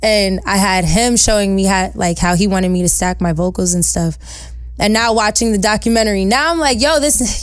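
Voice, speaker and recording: In a New York accent, a woman speaks at a fairly quick pace and medium pitch, with ordinary pitch variation, very even loudness and audible room echo. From New York, Westchester (New Rochelle). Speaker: singer-songwriter. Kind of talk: casual interview. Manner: animated.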